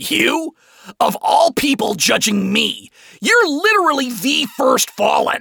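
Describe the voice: Shouting in a put-on character voice, a man goes extremely high with big pitch swings and vocal fry, his tone bright and sharp, at a slow pace, in a dry, close sound with no echo.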